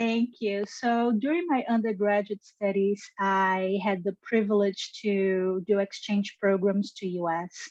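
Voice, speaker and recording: With hardly any pauses, a woman with a Brazilian accent speaks at a fairly slow pace and a medium pitch. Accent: Brazilian Portuguese accent, noticeable. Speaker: genetics scientist. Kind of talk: interview. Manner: enthusiastic; halting.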